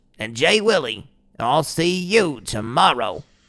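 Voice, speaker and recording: This man's pitch swings very widely. The recording is very clean, with a silent background. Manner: laid-back, rambling, profane.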